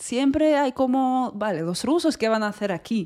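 On a very clean recording with a silent background, a woman with a Russian accent speaks in a dark, mellow tone with lively intonation. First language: Russian (speaking Spanish). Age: 30s. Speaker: movement teacher. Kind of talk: casual chat.

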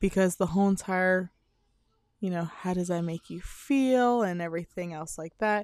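A woman with an ordinary speaking voice talks at a moderate pace and medium pitch with ordinary pitch variation, recorded very cleanly over a silent background with a dry, close sound and no echo. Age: 30s. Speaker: podcast host. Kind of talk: casual monologue.

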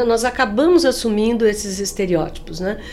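Amid noticeable background noise and audible room echo, a woman speaks fairly slowly. Her fairly high voice has lively intonation. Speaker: business school professor. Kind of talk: interview conversation.

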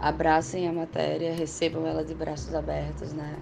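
The speaker is a woman, and noticeable background noise can be heard. Her voice carries audible room echo. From Northeast Brazil, Natal (Rio Grande do Norte). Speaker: university teaching assistant. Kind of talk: recorded self-introduction to students.

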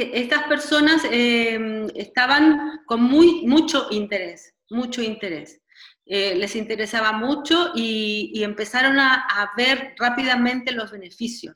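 Someone with a Chilean accent speaks at a very slow pace with hardly any pauses, using a bright, sharp tone and ordinary pitch variation. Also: woman, high pitch for a woman. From Chile (Santiago). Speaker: dancer and dance therapist. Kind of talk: interview conversation. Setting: video call.

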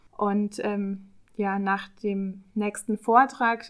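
A very clean recording with a silent background, the intonation monotone and flat. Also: woman. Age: 30s. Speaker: public relations officer. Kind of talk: podcast discussion.

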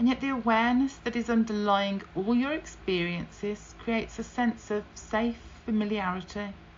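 In a British accent, a woman talks at a moderate pace with a fairly high pitch. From UK. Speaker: podcast host and breast cancer survivor. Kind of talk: solo podcast monologue. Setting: home office with fan noise. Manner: animated, upbeat, chatty.

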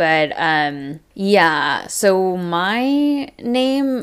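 Speaking in an American accent, a woman with a medium pitch swings very widely in pitch on a very clean recording with a silent background. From US, Taiwanese American family. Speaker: podcast co-host. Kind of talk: casual chat; podcast promo read.

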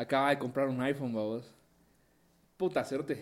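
The speaker has a Guatemalan accent and keeps a moderate pace. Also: man. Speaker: podcast co-host. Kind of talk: casual chat.

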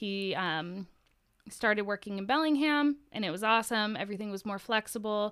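A woman with an American accent speaks in an ordinary speaking voice at a moderate pace, her fairly high pitch showing ordinary variation, on a very clean recording with a silent background. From Washington State, US Pacific Northwest. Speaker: podcast guest, mother. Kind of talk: casual chat.

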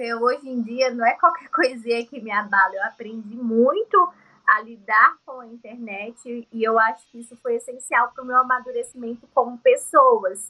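A woman's high-pitched voice at a moderate pace, with ordinary pitch variation, big swings in loudness and hardly any pauses. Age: 30s. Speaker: beauty and fashion influencer, entrepreneur. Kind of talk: interview conversation.

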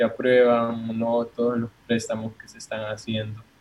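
With a Salvadoran accent, a man speaks at medium pitch and a fairly slow pace. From El Salvador. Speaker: student. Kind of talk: casual chat. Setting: call.

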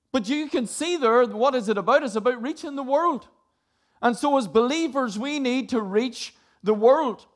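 A man's extremely high-pitched voice in a Northern Irish accent at a moderate pace. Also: ordinary pitch variation. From Northern Ireland. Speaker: preacher. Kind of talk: sermon.

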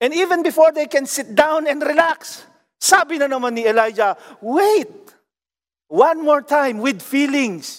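A man's extremely high-pitched voice, lively intonation, fairly slow pace. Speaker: pastor. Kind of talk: sermon. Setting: online worship service. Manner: fervent, declamatory preaching, rising emphasis.

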